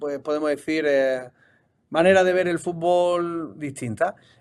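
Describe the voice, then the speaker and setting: A man's fairly high-pitched voice, fairly even in intonation, at a moderate pace. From Spain, Seville. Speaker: football coach and analyst. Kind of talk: interview.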